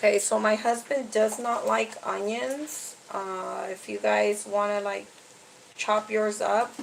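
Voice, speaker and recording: Noticeable background noise accompanies this woman's speech. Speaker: cooking vlogger. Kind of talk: casual tutorial. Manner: chatty.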